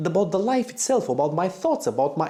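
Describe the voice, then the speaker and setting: A man with a non-native accent speaks in a high pitch and a dark, mellow tone. His pitch swings very widely. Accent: non-native English speaker. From Romania. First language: Romanian. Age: 40s. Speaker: motorcycle vlogger. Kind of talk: personal vlog monologue. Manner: halting, repeats words.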